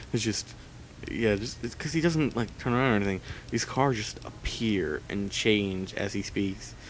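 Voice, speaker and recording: Noticeable noise runs in the background. The delivery has a moderate pace and ordinary pitch variation. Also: man, fairly low pitch for a man. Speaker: let's play gamer. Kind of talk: gameplay commentary. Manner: casual, filler-heavy. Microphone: laptop recording.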